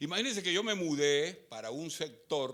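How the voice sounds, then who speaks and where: A man's fairly high, bright, sharp voice at a moderate pace, with very wide pitch swings and audible room echo. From Colombia. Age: 70s. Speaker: pastor. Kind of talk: sermon.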